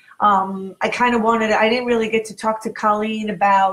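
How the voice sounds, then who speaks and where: A woman's somewhat breathy voice. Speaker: internet radio host. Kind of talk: casual interview. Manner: animated. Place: home room. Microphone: webcam.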